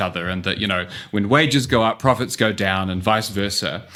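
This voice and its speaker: Delivered at a moderate pace with a New Zealand accent, the voice has a bright, sharp tone and ordinary pitch variation. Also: man. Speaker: urban economist. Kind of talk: podcast interview. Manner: frequent fillers (um, uh).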